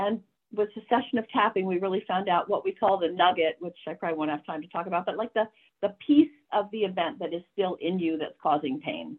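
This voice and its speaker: Her intonation is lively and her pace fairly quick. The woman has a normal speaking voice at a medium pitch. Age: 60s. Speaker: nurse and tapping practitioner. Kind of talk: interview; guided exercise. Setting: video call.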